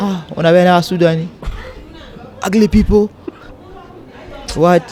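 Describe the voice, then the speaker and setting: A man speaks at a moderate pace with a high pitch and fairly even intonation. Crowd noise fills the background. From South Sudan, raised in Uganda. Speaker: immigrant interviewee. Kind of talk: casual chat.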